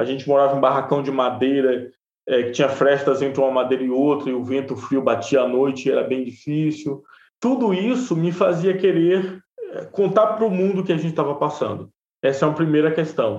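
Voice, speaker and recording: He speaks fairly quickly, with ordinary pitch variation. This man's fairly high-pitched voice is an unremarkable speaking voice. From Bahia interior, Brazil. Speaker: journalist and podcaster. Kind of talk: interview conversation.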